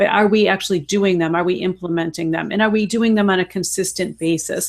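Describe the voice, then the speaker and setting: A woman with a slight Chicago accent and ordinary pitch variation, on a very clean recording with a silent background. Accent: slight Chicago Midwest. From Chicago, US Midwest. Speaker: health and fitness coach. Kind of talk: casual chat.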